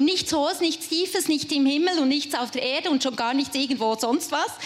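A woman speaks in a high voice with lively intonation and an animated, enthusiastic tone. Noticeable background noise is present. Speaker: preacher. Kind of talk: sermon to a live youth audience, personal and warm. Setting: stage with audience. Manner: enthusiastic, warm.

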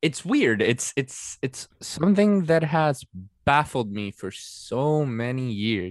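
At a very slow pace, a man with a Spanish accent speaks at a fairly high pitch with lively intonation. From Venezuela. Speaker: political science student and writer. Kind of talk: casual chat.

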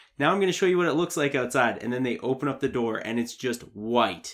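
A man speaks in a plain, everyday voice at a fairly quick pace. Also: hardly any pauses. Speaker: podcast host. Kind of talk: casual chat. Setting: in a basement.

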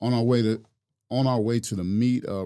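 A dark, mellow tone comes through on a very clean recording with a silent background. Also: man. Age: 50s. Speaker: barber. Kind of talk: testimony. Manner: halting.

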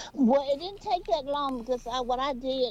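Speaking in a Southern US accent, a woman talks at a moderate pace with ordinary pitch variation. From US South. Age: 70s. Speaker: caller. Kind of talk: call-in conversation. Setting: phone call.

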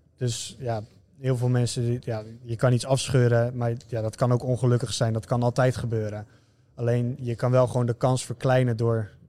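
A man speaks at medium pitch with a dark, mellow tone. His delivery is monotone and flat, at a moderate pace. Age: 20s. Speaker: online fitness coach and amateur footballer. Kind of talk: casual interview. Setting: gym.

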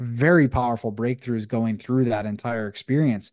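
In a plain, everyday voice, a man with an American accent speaks at a moderate pace and medium pitch with fairly even intonation, the sound dry and close with no echo over a quiet background. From Buffalo, New York, US. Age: 30s. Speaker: breathwork facilitator and men's coach. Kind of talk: casual interview. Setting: video call.

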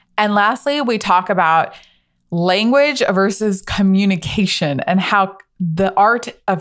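A woman speaks at a moderate pace in an ordinary speaking voice, her pitch medium. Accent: American. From US. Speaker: podcast host. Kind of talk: casual interview conversation.

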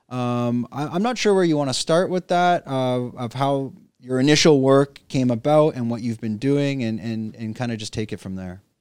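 With a Canadian accent, a man speaks in a plain, everyday voice at medium pitch and a moderate pace, with ordinary pitch variation and hardly any pauses, in a very clean recording with a silent background. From Canada. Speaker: podcast host. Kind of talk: casual interview. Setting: studio.

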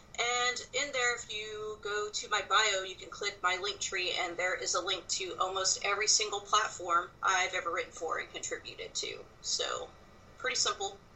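A woman with an American accent at a moderate pace, against noticeable background noise. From South Texas. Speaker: wrestling writer. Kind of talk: casual interview.

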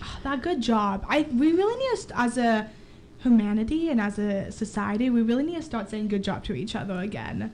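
Her voice is fairly high for a woman, with lively intonation and a fairly quick pace. Noticeable background noise runs behind it. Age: young. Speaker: student radio co-host. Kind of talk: casual chat.

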